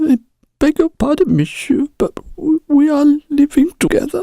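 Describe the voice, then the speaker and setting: A put-on character voice, high in pitch, moves along at a moderate pace. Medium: audio drama.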